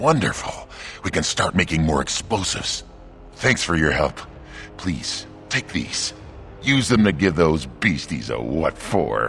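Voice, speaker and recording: Pausing long and often, a put-on character voice moves at a fairly slow pace with very wide pitch swings over clear background noise. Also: man, very deep, low pitch for a man. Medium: video game. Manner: enthusiastic, folksy.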